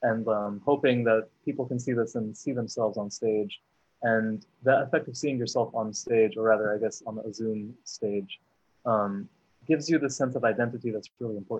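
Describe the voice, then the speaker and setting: A man's ordinary speaking voice with an American accent, medium pitch, fairly even intonation and a moderate pace. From US, Syrian American family. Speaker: actor. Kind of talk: panel discussion.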